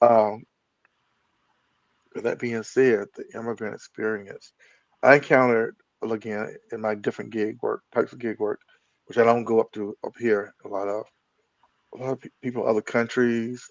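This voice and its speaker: A man with an American accent at a moderate pace, flat and monotone in intonation at a medium pitch, with big swings in loudness and long, frequent pauses. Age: 60s. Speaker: podcast host. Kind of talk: interview. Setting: live video stream. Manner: halting.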